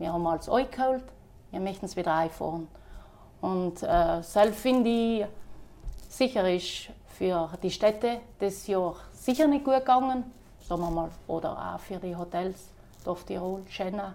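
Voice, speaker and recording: A woman with a medium pitch speaks at a fairly slow pace. Her pauses are long and frequent. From South Tyrol, Ulten valley. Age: 30s. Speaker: innkeeper and horse breeder. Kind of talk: casual interview. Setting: at her inn.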